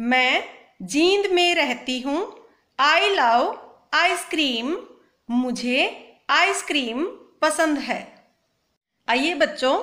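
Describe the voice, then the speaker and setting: A woman's raised, projected voice, high-pitched and bright and sharp in tone, with lively intonation and long, frequent pauses. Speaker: teacher. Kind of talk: lesson for children. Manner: slow, phrase by phrase.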